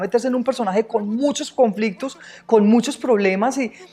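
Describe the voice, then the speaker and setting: The voice carries a strong Antioquian accent. It moves at a fairly quick pace with ordinary pitch variation. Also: woman. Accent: strong paisa. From Colombia, Medellín (paisa). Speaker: actress. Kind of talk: interview.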